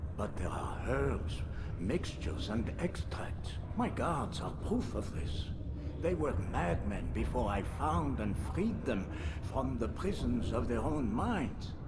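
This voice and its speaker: A man's put-on character voice, very deep and low, at a fairly slow pace over loud background noise. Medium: machinima. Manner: measured, condescending.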